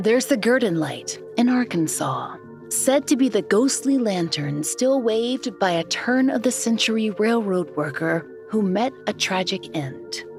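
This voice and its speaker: Over music in the background, a woman speaks with very wide pitch swings and hardly any pauses. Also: medium pitch for a woman, fairly slow pace. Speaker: podcast host. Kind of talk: documentary storytelling narration.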